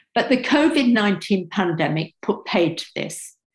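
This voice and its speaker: Spoken with a British accent at a fairly slow pace, the somewhat breathy voice has lively intonation and audible room echo. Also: woman, quiet background. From England. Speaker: sociology professor. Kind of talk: seminar talk; lecture. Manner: halting. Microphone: webcam.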